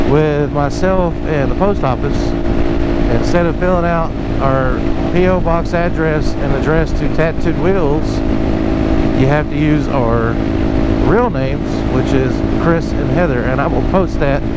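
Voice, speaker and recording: Fairly slow speech with long, frequent pauses, a dry sound with no echo, and loud background noise. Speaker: motovlogger. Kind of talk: casual vlog chat. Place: motorbike. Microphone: helmet.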